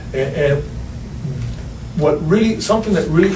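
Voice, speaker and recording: A man with a fairly high pitch, amid audible room echo and noticeable background noise. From Cuba, raised in US from age 8. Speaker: radio show guest. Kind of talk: political talk radio discussion.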